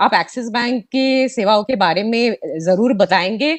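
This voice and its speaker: A woman's high voice with lively intonation. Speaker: bank executive. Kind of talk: formal address at online launch event. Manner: hesitant, many fillers.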